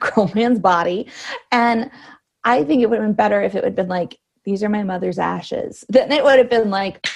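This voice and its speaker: Fairly high in pitch with ordinary variation, a woman speaks in a Canadian accent. She talks at a fairly quick pace with vocal fry. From Canada (Cambridge, Ontario). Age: 30s. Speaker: freelance writer and author. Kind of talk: casual chat. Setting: video call.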